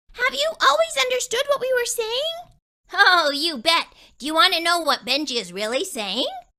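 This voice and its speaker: A female-sounding, put-on character voice pitched extremely high for a woman. It swings very widely in pitch. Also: moderate pace. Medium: read story. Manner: chatty, cheeky.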